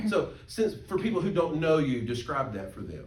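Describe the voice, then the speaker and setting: With audible room echo, an animated voice with an American accent speaks at a moderate pace. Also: man. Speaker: pastor teaching Sunday school. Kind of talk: Sunday school class teaching.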